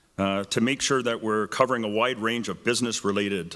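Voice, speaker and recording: A man with a Canadian accent speaks at fairly low pitch and a moderate pace, with ordinary pitch variation. His booming voice has a bright, sharp tone on a very clean recording with a silent background. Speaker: debate moderator. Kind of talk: public event moderation.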